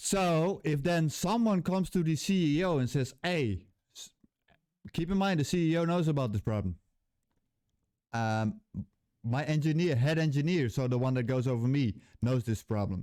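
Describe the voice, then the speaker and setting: With a Dutch accent, a man talks at a moderate pace with long, frequent pauses. His tone is dark and mellow, his intonation lively. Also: fairly high pitch for a man. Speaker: game developer, YouTuber. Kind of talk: casual vlog rant. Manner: halting.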